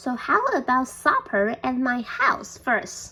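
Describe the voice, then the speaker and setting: A woman puts on a character voice pitched high. She speaks at a fairly slow pace. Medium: read story.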